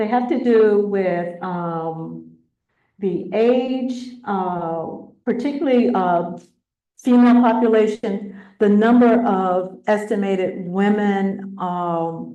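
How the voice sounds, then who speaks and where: A woman's dark, mellow tone at a medium pitch, very slow in pace with ordinary pitch variation, amid audible room echo. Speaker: presenter on county planning data. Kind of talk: presentation with slides. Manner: halting, many fillers.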